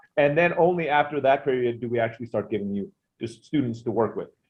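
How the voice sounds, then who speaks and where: Medium-pitched male speech with a non-native accent. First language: not English. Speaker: online business owner. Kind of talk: interview.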